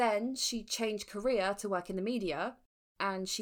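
A woman with an English accent at a moderate pace in a very clean recording with a silent background. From England. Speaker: true crime podcast co-host. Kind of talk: casual chat with narrated case storytelling.

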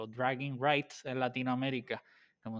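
A man's monotone, flat delivery at a fairly quick pace on a very clean recording with a silent background. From Puerto Rico. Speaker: podcast host. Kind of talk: interview.

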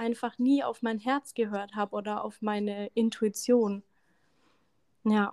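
Speaking at a very slow pace with long, frequent pauses, a woman with a fairly high pitch keeps a monotone, flat intonation in a dry, close sound with no echo on a very clean recording with a silent background. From Lower Franconia, Bavaria (near Schweinfurt). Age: 30s. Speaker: energy coach. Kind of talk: podcast interview.

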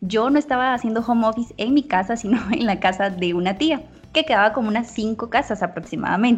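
A woman with an ordinary speaking voice, fairly high and fairly quick, with ordinary pitch variation. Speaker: podcast co-host. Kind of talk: casual chat.

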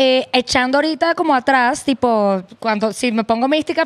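In a Venezuelan accent, a woman speaks at a high pitch with lively intonation, the sound dry and close with no echo. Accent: Venezuelan Spanish, retained. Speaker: guest. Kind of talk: casual chat.

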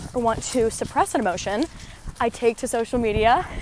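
A woman's high, animated, enthusiastic voice with lively intonation over noticeable background noise. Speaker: podcast host. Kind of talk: casual monologue while walking. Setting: outdoors, walking.

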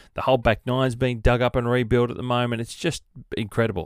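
A man's medium-pitched voice at a very fast pace. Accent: Australian. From Sydney, Australia. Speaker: golf podcast host. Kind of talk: solo podcast monologue. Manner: casual, rambling.

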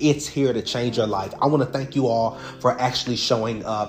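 With music in the background, a man at medium pitch speaks at a moderate pace with ordinary pitch variation. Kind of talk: guided visualization meditation. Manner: instructive, unpolished, with hesitant fillers and frequent 'right?' check-ins.

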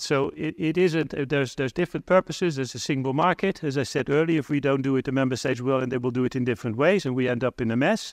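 With a Dutch accent, a man speaks at a fairly high pitch with ordinary pitch variation, against a quiet background and a dry, close sound with no echo. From Netherlands. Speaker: diplomat. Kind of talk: conference keynote. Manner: halting, many fillers and repetitions.

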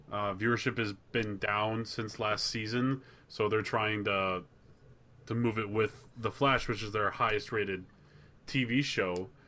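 A man with an American accent speaks at a fairly slow pace in a fairly low voice, his tone bright and sharp and his intonation monotone and flat. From Wisconsin. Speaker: podcast co-host. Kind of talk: casual chat; reading aloud.

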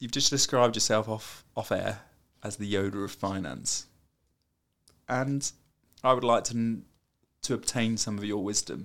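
A man with a British accent, long and frequent pauses, in a very clean recording with a silent background. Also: medium pitch for a man, moderate pace. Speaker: podcast co-host. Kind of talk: casual chat. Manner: joking, animated.

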